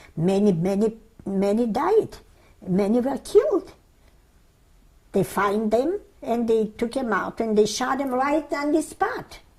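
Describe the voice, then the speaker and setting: Her fairly high pitch makes very wide swings as the woman talks at a fairly slow pace. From Lithuania, Vilnius. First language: Yiddish. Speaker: Holocaust survivor. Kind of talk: oral history interview. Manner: halting.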